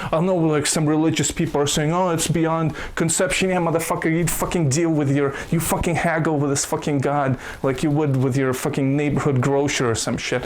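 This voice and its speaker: Someone speaks at a fairly quick pace with a Russian accent and an animated tone. Noticeable background noise runs underneath. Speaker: YouTube commentator. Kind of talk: casual commentary rant.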